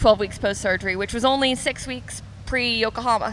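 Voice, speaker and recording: An American accent with ordinary pitch variation, light background noise behind it. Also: woman. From US. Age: 20s. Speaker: professional triathlete. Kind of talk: interview. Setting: on location at a restaurant. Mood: relaxed, friendly, smiling. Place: waterside. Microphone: handheld.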